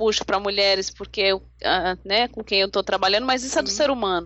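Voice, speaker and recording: This woman has a plain, everyday voice. She talks at a medium pitch and shows ordinary pitch variation. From Brazil, São Paulo. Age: 40s. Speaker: life coach and lawyer. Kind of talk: interview.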